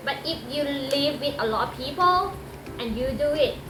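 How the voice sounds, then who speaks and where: Over music in the background, a woman with a Thai accent speaks in a raised, projected voice at a high pitch and a fairly slow pace, with audible room echo. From Thailand. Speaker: medical technologist and streamer. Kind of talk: tutorial. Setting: at home, cut from a live stream.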